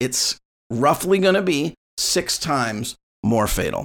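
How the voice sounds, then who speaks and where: A man's fairly high voice with vocal fry and very wide pitch swings. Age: 50s. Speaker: podcast host, music school owner. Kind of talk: solo rant. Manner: casual, with fillers.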